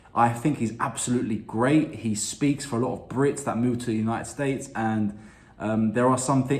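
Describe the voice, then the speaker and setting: Audible room echo surrounds a man's medium-pitched voice. He talks at a fairly quick pace with fairly even intonation. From London, England. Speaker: YouTube reactor. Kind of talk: casual video intro.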